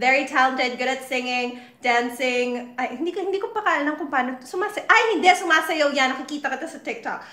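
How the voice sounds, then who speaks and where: A woman talks very fast in a high, raised, projected voice with an animated tone, lively intonation, big swings in loudness and hardly any pauses over noticeable background noise. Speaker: livestream host interviewing a guest. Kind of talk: casual chat. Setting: online livestream. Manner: animated, gushing.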